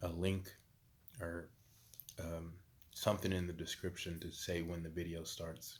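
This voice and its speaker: A man with a very deep, low pitch speaks at a fairly quick pace in a monotone, flat intonation. Audible room echo surrounds his voice. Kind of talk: casual vlog monologue. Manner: long pauses, pondering; hesitant, many fillers.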